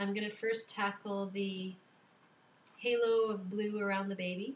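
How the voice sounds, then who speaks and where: The speaker is soft-spoken, with a monotone, flat intonation. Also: woman. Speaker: newborn photographer making tutorials. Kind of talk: tutorial. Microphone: microphone a little ways away, quiet.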